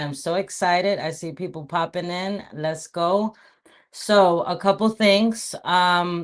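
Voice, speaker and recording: Against a quiet background, a woman with a fairly low pitch speaks very slowly in a fairly even intonation. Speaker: real estate agent, cold calling coach. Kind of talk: livestream, live cold calling demo. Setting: livestream. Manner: loud.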